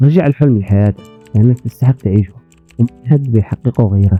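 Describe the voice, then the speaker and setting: With music in the background and a dry, close sound with no echo, a man of medium pitch talks at a moderate pace with ordinary pitch variation. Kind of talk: motivational talk.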